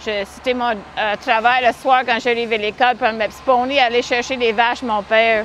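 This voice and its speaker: Against noticeable background noise, a woman with a fairly high pitch speaks at a fairly slow pace in a monotone, flat intonation. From Manitoba, western Canada. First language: English (speaking French). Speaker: horse-drawn carriage driver. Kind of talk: interview.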